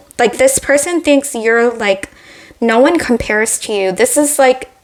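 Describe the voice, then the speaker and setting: Over noticeable background noise, a woman with a high voice talks at a fairly slow pace with ordinary pitch variation. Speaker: tarot reader. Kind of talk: tarot reading. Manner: hesitant, filler-heavy.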